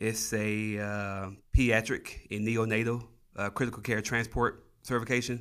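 The intonation is monotone and flat. A man talks at a medium pitch. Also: moderate pace, very clean recording, silent background. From Tennessee. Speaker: flight paramedic. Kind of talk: interview conversation. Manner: hesitant, many fillers.

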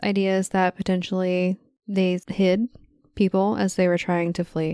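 At a very slow pace, a voice with an American accent and a dark, mellow tone sounds dry and close with no echo, on a very clean recording with a silent background. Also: woman. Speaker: podcast co-host, amateur ghost investigator. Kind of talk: casual chat.

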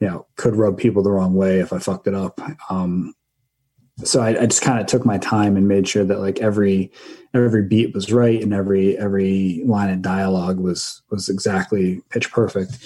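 In an American accent, a man with a fairly low pitch and a dark, mellow tone talks at a fairly quick pace with monotone, flat intonation. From US Northeast, northern Jersey Shore, New Jersey. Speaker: comic book writer. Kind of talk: casual interview. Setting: remote call.

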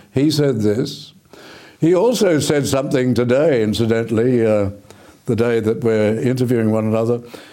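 In an Australian accent, a man speaks with a dark, mellow tone, ordinary pitch variation and very even loudness, with audible room echo around him. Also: medium pitch for a man, moderate pace. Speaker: TV current affairs host. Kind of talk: interview.

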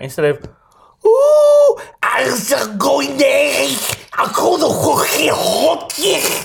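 In a put-on character voice with a Liverpool accent, the speaker talks at a very slow pace and an extremely high pitch. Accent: Scouse. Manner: spooky, comically haunting.

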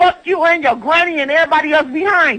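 A woman speaks in a raised, projected voice with an extremely high pitch. Her pitch variation is ordinary. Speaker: prank call recipient. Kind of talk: heated phone argument. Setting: phone call. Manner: loud.

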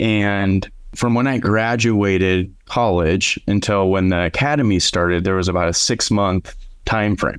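The speaker has an Upper Midwest accent, a moderate pace and ordinary pitch variation. Loudness stays very even on a very clean recording with a silent background. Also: man, fairly low pitch for a man. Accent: Upper Midwest American. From South Dakota, Aberdeen. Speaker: restaurant franchise owner. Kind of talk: interview.

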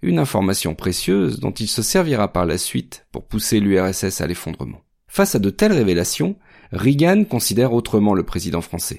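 A man's fairly low voice at a moderate pace, with lively intonation and a dramatic tone. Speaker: podcast narrator. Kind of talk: scripted true-crime history narration. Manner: measured, steady storytelling pace; dramatic, emphatic delivery building suspense.

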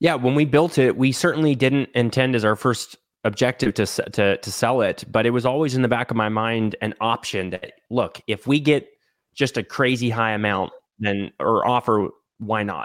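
At a moderate pace, a man with an American accent talks in a plain, everyday voice at a medium pitch with ordinary pitch variation. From Texas. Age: 20s. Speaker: short-term rental entrepreneur. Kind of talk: casual interview.

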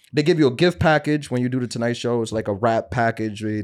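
A man with an American accent and an unremarkable speaking voice at a medium pitch, with lively intonation, on a very clean recording with a silent background. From New York. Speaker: comedian and podcast host. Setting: studio.

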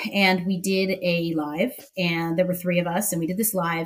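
A somewhat breathy voice at a moderate pace. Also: woman. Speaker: tequila social media personality. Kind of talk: casual chat.

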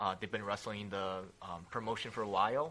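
A man is speaking. His pace is moderate. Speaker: independent pro wrestler. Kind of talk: casual interview chat. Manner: hesitant, filler words.

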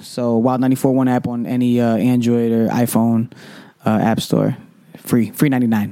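A man with an American accent at medium pitch, monotone and flat in intonation, at a moderate pace over noticeable background noise. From Hartford, Connecticut, US Northeast. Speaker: radio DJ. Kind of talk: casual interview chat.

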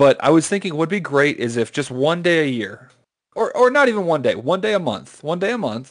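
Over a quiet background, a man uses an ordinary speaking voice with lively intonation at a moderate pace. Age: 20s. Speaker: podcast co-host; call center worker. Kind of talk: casual chat.

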